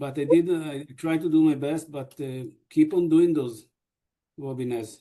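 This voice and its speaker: A dark, mellow tone from a man with an Israeli accent, fairly high in pitch, at a moderate pace, with fairly even intonation and big swings in loudness. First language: Hebrew. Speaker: deputy mayor. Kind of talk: panel discussion. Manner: halting.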